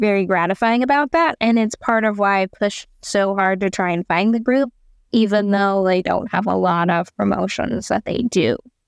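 Speaking with a Midwestern American accent, a woman talks at a moderate pace with hardly any pauses, at medium pitch with ordinary variation. Her loudness stays very even on a very clean recording with a silent background. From US Midwest, southern Indiana. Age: 20s. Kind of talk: interview.

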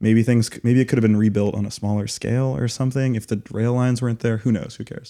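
With hardly any pauses, a man speaks very fast at a medium pitch, with a dark, mellow tone and fairly even intonation. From Las Vegas. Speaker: podcast co-host. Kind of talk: casual discussion.

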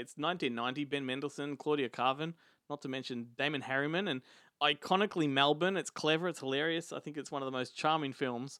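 A man with an Australian accent, a fairly high pitch, a bright, sharp tone, and a fairly quick pace. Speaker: film podcast host. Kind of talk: casual chat.

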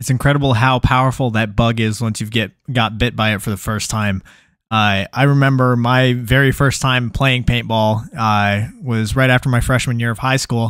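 A man's ordinary speaking voice with an American accent, medium in pitch, at a moderate pace with fairly even intonation. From Texas. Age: 20s. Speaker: podcast host and paintball player. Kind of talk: casual interview. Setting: live stream.

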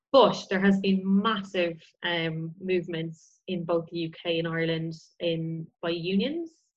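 A woman speaks with a fairly low pitch and a somewhat breathy quality. Her intonation is monotone and flat. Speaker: osteologist and heritage consultant. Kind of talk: casual interview.

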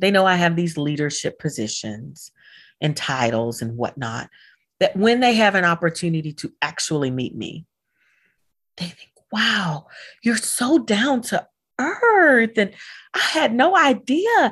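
A woman's fairly slow speech with long, frequent pauses, very wide pitch swings and vocal fry. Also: medium pitch for a woman, very clean recording, silent background. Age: 40s. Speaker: geriatric physician. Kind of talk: casual interview chat.

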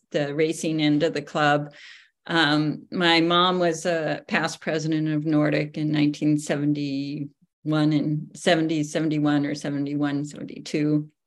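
A woman with a very deep, low voice speaks at a moderate pace. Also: very clean recording, silent background. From Anchorage, Alaska. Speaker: author and local ski historian. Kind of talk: casual interview.

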